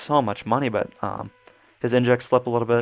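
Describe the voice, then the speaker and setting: Fairly even intonation marks this fairly quick delivery. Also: man. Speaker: gaming content creator. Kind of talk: gameplay tutorial commentary. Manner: fast; casual, many fillers.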